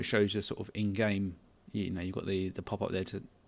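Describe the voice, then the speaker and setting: Talking at a very fast pace, a man with a fairly low pitch delivers his words in a monotone, flat intonation on a very clean recording with a silent background. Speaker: indie game developer. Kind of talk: casual devlog talk. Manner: halting.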